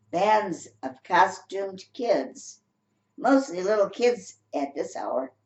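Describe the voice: Plain reading aloud comes with lively intonation against a quiet background.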